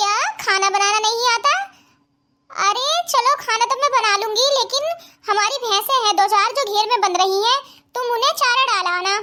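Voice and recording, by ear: A woman's cartoonish character voice, extremely high-pitched, at a moderate pace with very even loudness.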